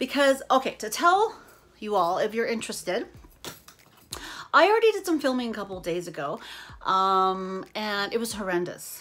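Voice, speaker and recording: On a very clean recording with a silent background, a woman speaks at a fairly high pitch. Her speech has long, frequent pauses. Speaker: beauty vlogger. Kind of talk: casual chat. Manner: fast.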